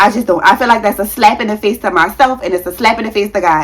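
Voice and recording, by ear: At a fast pace, a woman talks at a medium pitch with ordinary pitch variation.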